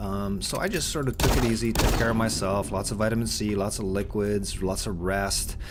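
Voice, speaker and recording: Amid noticeable background noise and audible room echo, a man speaks at a fairly quick pace in a fairly low voice. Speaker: gaming video creator. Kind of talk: gameplay commentary. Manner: animated.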